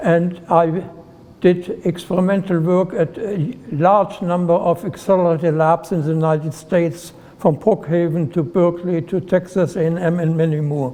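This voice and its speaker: Fairly even intonation at a moderate pace, with a German accent over noticeable background noise. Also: man, high pitch for a man. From Germany, Heidelberg. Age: 90s. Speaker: retired nuclear physicist. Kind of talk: personal life story talk.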